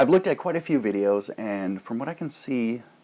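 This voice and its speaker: This is a man speaking. He has a Canadian accent. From Canada. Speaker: YouTube pipe tobacco reviewer. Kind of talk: casual vlog monologue. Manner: rambling, filler-heavy.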